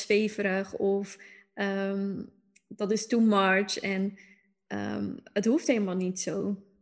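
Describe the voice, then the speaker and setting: A woman's medium-pitched voice stays monotone and flat as she talks very slowly. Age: 20s. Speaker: astrologer. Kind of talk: casual interview chat.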